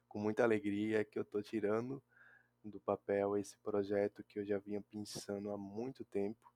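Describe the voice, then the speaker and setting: The recording is very clean with a silent background and a dry, close sound with no echo, carrying a man's fairly low voice in a dark, mellow tone. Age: 20s. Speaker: podcaster and writer. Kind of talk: solo podcast monologue.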